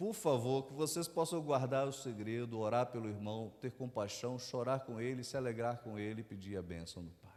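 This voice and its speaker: A man with a northeastern Brazilian accent talks at a moderate pace and medium pitch, with ordinary pitch variation, big swings in loudness and hardly any pauses. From Northeast Brazil, João Pessoa, Paraíba. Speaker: pastor. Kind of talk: sermon. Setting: church service with congregation.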